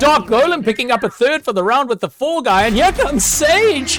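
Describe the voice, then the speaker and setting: A man speaks in an energetic tone at a fairly quick pace, his pitch swinging very widely over music in the background. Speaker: esports shoutcaster. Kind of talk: esports game commentary. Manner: fast, energetic.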